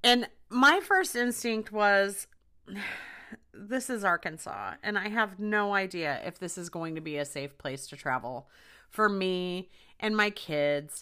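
A woman speaks at a fairly slow pace and a medium pitch, her tone bright, sharp and animated. Her intonation is lively, and the recording is very clean with a silent background. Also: big swings in loudness. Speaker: podcast host, former hairdresser. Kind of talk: casual storytelling monologue. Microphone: new microphone.

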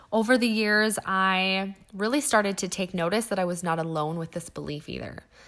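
A woman with a Western Canadian accent at a moderate pace, hardly any pauses, in a very clean recording with a silent background. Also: medium pitch for a woman, ordinary pitch variation. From western Canada (Alberta and British Columbia). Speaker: podcast host. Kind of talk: solo podcast monologue.

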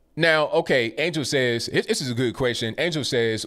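With a normal speaking voice at a medium pitch, a man talks at a fairly quick pace with lively intonation. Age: 30s. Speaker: live-stream commentary host. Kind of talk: live call-in stream commentary. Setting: live stream.

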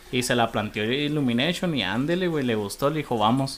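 The speech moves at a moderate speed. It comes in a plain, everyday voice. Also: man. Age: 30s. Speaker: podcast guest. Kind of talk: casual chat.

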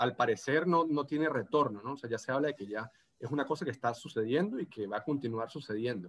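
In a Venezuelan Andean accent, a man talks at a very fast pace in a medium-pitched voice over a quiet background. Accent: Venezuelan Andean (gocho). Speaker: postdoctoral researcher. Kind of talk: casual interview. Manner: halting, many repetitions and fillers.

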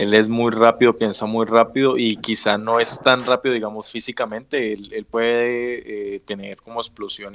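A man speaks at a moderate pace in a monotone, flat intonation. The background is quiet. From Colombia. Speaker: podcast host, football fan club member. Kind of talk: casual chat.

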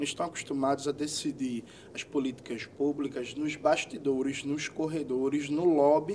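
With an unremarkable speaking voice, a man talks at a moderate pace, his pitch fairly high and his intonation fairly even. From Brazil, Pernambuco (Recife area). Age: 30s. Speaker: politician, history teacher. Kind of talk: interview.

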